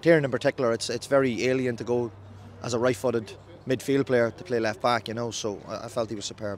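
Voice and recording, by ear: A man talks at a fast pace in a medium pitch, his intonation fairly even.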